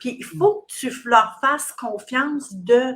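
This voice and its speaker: Her pitch is high and swings very widely as this woman speaks at a very slow pace. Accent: Quebec. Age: 60s. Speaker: recruitment business owner. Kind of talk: interview. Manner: halting.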